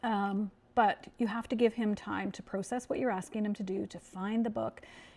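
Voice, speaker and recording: Speaking at a moderate pace, a woman with a medium pitch keeps a monotone, flat intonation while her loudness swings widely. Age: old. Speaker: grandmother vlogger and teacher. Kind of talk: advice talk to camera.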